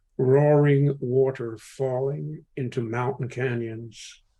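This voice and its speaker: Very slow, somewhat breathy speech. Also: man. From England. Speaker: poet. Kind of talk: poetry reading.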